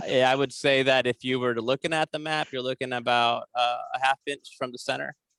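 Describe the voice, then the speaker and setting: A man speaks fairly quickly with hardly any pauses, at a medium pitch in a monotone, flat way. His tone is bright and sharp, and the sound is dry and close, with no echo. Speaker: tequila brand owner. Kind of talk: casual chat. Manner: fast.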